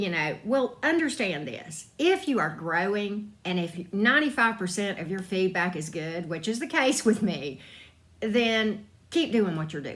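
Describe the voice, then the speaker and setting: A woman with a Southern US accent talks at a fairly slow pace. Her medium-pitched voice swings very widely up and down. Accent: Southern drawl. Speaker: tarot reader and spiritual YouTuber. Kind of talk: casual advice talk. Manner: conversational, frequent fillers.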